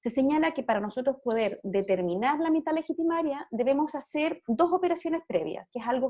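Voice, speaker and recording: Pitched high, a woman talks at a fairly quick pace with a dark, mellow tone. Her intonation is lively. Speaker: law lecturer. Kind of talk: lecture. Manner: fast.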